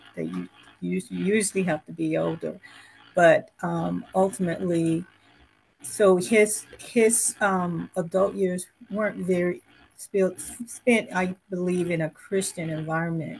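Over light background noise, a somewhat breathy woman speaks very slowly at a fairly low pitch with fairly even intonation. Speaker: military family member and panelist; panelist. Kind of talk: panel discussion. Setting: video call. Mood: calm, reflective family story. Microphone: video call.

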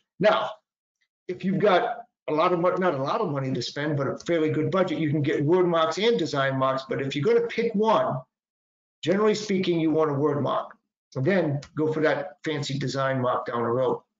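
A man with an American accent speaks at a fairly quick pace, with audible room echo against a quiet background. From Boston. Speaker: patent attorney presenter. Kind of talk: lecture. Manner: conversational, informal. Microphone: webcam.

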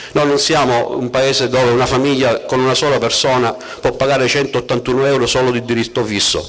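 A man talks in a monotone with flat intonation. His loudness stays very even. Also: moderate pace. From Sicily. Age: 40s. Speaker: surveyor and council candidate; council candidate. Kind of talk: political rally speech. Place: street.

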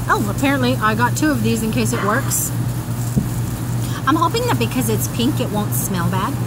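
A woman is talking. Loud noise fills the background. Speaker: haul vlogger. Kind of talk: casual vlog chat. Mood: cheerful, chatty. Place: garden. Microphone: phone near.

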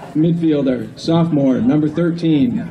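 Crowd noise fills the background as a man speaks. His pace is fairly slow and his pitch varies in an ordinary way. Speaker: field announcer. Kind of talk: roster announcement. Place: stadium.

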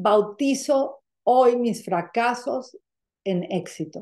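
Dark, mellow tone with lively intonation over a quiet background. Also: woman. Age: 50s. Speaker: spiritual coach leading an online workshop. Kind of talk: live online spiritual workshop. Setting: live video call. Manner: animated. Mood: warm, guiding, reflective. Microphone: webcam.

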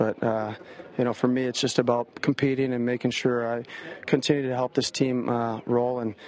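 A man's medium-pitched, slightly mellow voice at a fairly quick pace with little pitch movement

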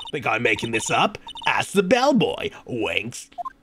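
A man talks fairly slowly, performing a put-on character voice. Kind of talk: comic overacting. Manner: coquettish, teasing.

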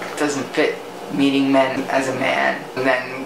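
A man speaks while noticeable background noise fills the recording. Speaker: vlogger. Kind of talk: personal reflective vlog talk. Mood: reflective, emotional. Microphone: phone near.

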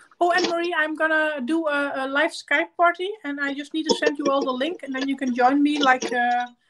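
A woman speaks at a fairly quick pace, with a high pitch and hardly any pauses. Noticeable noise sits in the background. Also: ordinary pitch variation. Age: 30s. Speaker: makeup YouTuber. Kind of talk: livestream makeup tutorial. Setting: live stream at home. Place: home room. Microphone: webcam.

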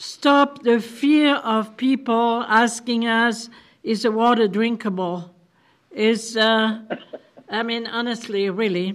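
Very slow speech with fairly even intonation sits over a quiet background. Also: woman. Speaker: council chair. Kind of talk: meeting report. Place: meeting room. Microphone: podium.

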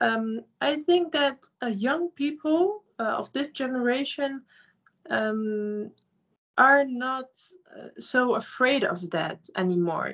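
Over a quiet background, a woman with a Dutch accent speaks very slowly in a high voice, her intonation lively and her loudness swinging widely. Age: young. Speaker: youth group participant. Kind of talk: panel discussion. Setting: video call. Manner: halting. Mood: calm, thoughtful. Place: home room. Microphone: video call.

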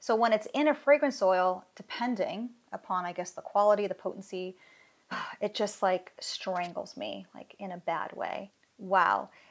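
Speech comes at a fairly slow pace with ordinary pitch variation against a quiet background. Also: woman. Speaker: soap maker reviewing fragrances. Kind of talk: casual review chat. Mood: enthusiastic, delighted. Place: home room.

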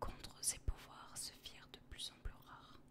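Whispering at a fairly slow pace, a woman speaks. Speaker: ASMR content creator. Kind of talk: whispered ASMR reading of game character biography. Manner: whispered, soft, relaxing.

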